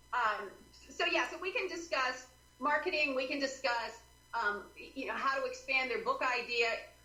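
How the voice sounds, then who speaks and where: A woman speaks in a raised, projected voice at a high pitch and a moderate pace, with an animated tone and lively intonation. Music plays in the background amid audible room echo. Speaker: author and writing consultant. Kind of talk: interview.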